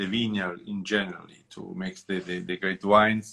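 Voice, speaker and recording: A man talks with an Italian accent. His fairly low voice stays monotone and flat. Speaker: winemaker. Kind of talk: interview. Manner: halting.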